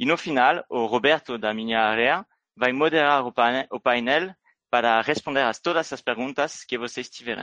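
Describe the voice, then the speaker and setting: A man talks at medium pitch with a bright, sharp tone. The sound is dry and close with no echo, over a quiet background. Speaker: business developer, event opener. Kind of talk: scripted introduction.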